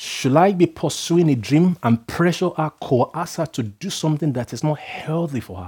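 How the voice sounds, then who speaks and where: A dark, mellow tone with lively intonation and hardly any pauses, in a very clean recording with a silent background. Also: man, fairly high pitch for a man, big swings in loudness. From Nigeria. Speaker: preacher. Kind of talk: sermon. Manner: fast.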